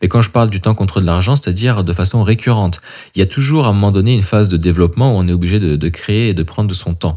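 A man talks at a very fast pace with a fairly low pitch and ordinary pitch variation. The recording is very clean, with a silent background. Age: 30s. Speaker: coach and podcast host. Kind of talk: solo podcast monologue. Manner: casual, with hesitations.

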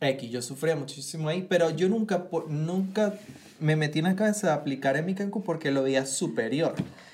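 With noticeable background noise behind him, a man speaks at a moderate pace with a fairly high pitch and ordinary pitch variation. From Venezuela. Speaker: actor and producer. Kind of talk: casual chat.

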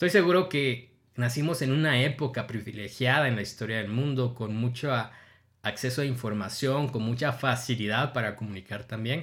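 A man speaks at a medium pitch and a moderate pace, his voice somewhat breathy. His pitch varies in an ordinary way, and the recording is very clean with a silent background. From Guatemala. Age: 30s. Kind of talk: devotional monologue.

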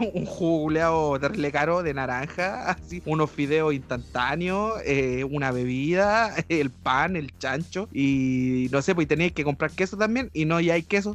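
Speaking with a Chilean accent, a man uses a fairly high pitch, ordinary pitch variation and a fairly slow pace with hardly any pauses. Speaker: podcast host. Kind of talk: casual chat.

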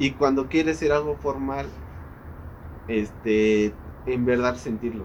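In a Mexico City accent, a man speaks at a fairly slow pace and medium pitch. His intonation is lively, with long, frequent pauses. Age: 20s. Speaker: industrial engineer. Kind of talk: casual chat.

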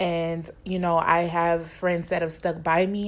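Using an ordinary speaking voice, a woman talks at a fairly slow pace in a fairly low pitch. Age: 20s. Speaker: podcast co-host. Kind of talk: casual chat.

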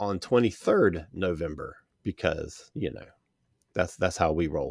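Fairly slow speech from a man. The very clean recording has a silent background and a dry, close sound with no echo. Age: 60s. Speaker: podcast host. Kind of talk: casual chat.

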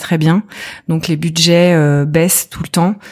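A woman at a fairly low pitch, with monotone, flat intonation and a fairly slow pace. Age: 40s. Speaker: entrepreneur, former health journalist. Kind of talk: casual interview.

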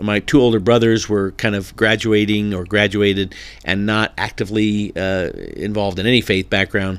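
Fairly low and monotone, a man with a Californian accent speaks in flat intonation on a very clean recording with a silent background. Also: moderate pace. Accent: General American, Californian. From Southern California. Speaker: pastor. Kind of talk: interview conversation.

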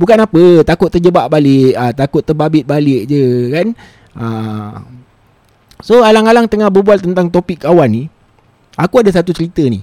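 A man's dark, mellow voice, fairly high in pitch with very wide swings, at a moderate pace, with a dry, close sound and no echo. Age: middle-aged. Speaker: podcast host and DJ. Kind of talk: casual solo storytelling.

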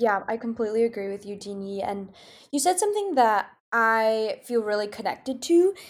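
A woman has an unremarkable speaking voice at a fairly high pitch. She talks at a fairly quick pace with ordinary pitch variation. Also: very clean recording, silent background. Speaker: student podcast host. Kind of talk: interview.

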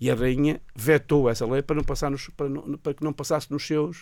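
The recording is very clean, with a silent background. Delivery is at a moderate pace with monotone, flat intonation. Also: man. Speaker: radio show guest. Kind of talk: casual chat. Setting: radio studio.

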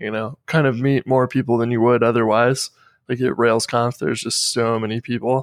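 With a dry, close sound, no echo and a quiet background, a man speaks at a medium pitch and moderate pace using fairly even intonation. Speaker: podcast host. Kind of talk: casual chat. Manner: monotone.

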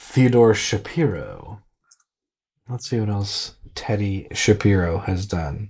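Very slow and somewhat breathy, a man speaks in a fairly low pitch on a very clean recording with a silent background. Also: ordinary pitch variation. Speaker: podcast co-host. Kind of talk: casual chat.

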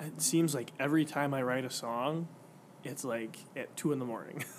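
A man's fairly high voice with an American accent and ordinary pitch variation. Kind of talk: casual chat.

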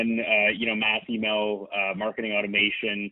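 A man is speaking. He has a Canadian accent. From northern Ontario, Canada. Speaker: tech company CEO. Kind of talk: interview. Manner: hesitant, many fillers.

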